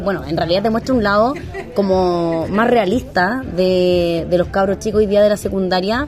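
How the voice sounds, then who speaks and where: Over noticeable background noise, someone with a Chilean accent speaks at a moderate pace with ordinary pitch variation. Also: woman. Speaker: podcast host. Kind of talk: casual chat. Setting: in a bar.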